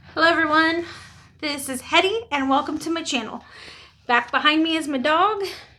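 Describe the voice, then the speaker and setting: A woman speaks at a high pitch in a bright, sharp tone. Her voice is raised and projected. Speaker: beauty vlogger. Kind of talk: makeup tutorial. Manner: casual.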